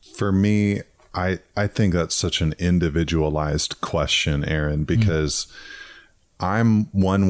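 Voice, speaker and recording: A very slow pace with fairly even intonation. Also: man. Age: 40s. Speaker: pastor. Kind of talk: casual chat.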